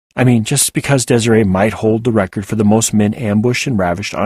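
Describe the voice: Fairly even intonation in plain reading aloud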